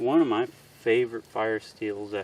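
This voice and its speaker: A man speaks very slowly at a medium pitch, keeping his intonation fairly even. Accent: Missouri. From US Midwest, Missouri. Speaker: outdoors knife reviewer. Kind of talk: product review demonstration. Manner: casual, hesitant with fillers.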